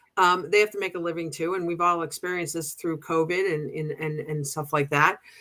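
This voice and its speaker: A woman with a Boston accent talks at a fairly quick pace in a fairly low pitch, with hardly any pauses. Her tone is bright and sharp, and her intonation fairly even. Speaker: pride organization co-president. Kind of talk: casual chat. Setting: livestream show. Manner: halting, many restarts.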